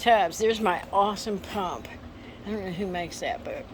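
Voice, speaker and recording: Over music in the background, a woman with an American accent speaks at a medium pitch with ordinary pitch variation. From Texas. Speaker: antique salvage shop owner. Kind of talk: casual video walkthrough. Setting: indoors in her shop during storm. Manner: halting.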